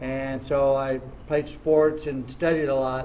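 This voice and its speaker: A man at medium pitch with an American accent, fairly even intonation and a fairly slow pace, in audible room echo. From southern California (Orange County). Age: 60s. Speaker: martial arts champion. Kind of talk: interview. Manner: halting.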